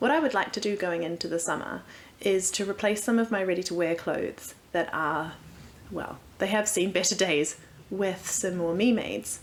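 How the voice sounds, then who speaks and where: A moderate pace in a New Zealand accent, with ordinary pitch variation. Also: woman, medium pitch for a woman. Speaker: sewing vlogger. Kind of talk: casual vlog.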